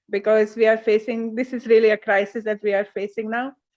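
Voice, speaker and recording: Speaking in a Hungarian accent, a woman holds a fairly high pitch with monotone, flat intonation. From Hungary. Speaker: beach cleanup activist. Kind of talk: webinar talk.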